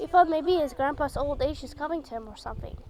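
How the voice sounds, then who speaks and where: Music plays in the background as a woman speaks at an extremely high pitch. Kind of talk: religious storytelling to viewers. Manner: halting, hesitant.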